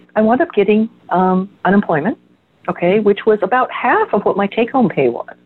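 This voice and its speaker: This woman has a normal speaking voice with medium pitch and very even loudness. She talks at a moderate pace with lively intonation. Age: 60s. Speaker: energy healer. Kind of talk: casual chat.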